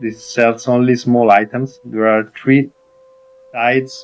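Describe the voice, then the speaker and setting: Over music in the background, a man with an Italian accent speaks in a medium pitch with monotone, flat intonation. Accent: Italian accent on English. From Italy. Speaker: gaming streamer. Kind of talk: game tutorial commentary. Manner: hesitant, many fillers.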